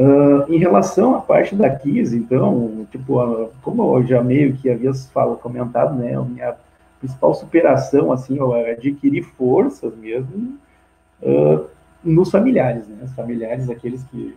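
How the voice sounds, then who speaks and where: Big swings in loudness mark this man's fairly slow delivery. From Rio Grande do Sul, Brazil (Santa Maria). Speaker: fire survivor, veterinarian. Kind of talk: testimony in live video chat. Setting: live video call. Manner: halting, many false starts.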